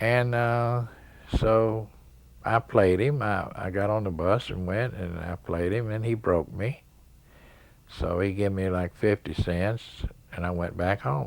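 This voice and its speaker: A man with an East Tennessee accent, fairly low in pitch with ordinary pitch variation, at a fairly slow pace with long, frequent pauses. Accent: Southern US (East Tennessee). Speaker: pool player. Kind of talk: interview, storytelling. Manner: halting.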